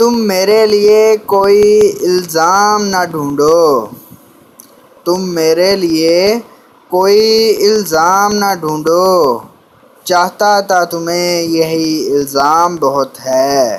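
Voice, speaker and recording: Over noticeable background noise, a man talks high in pitch with ordinary pitch variation and very even loudness. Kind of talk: poetry reading.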